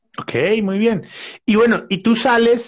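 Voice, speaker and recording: A man with a Bogotá accent. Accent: Bogotá Colombian Spanish. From Bogotá, Colombia. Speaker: podcast host. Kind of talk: live show hosting. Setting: live stream.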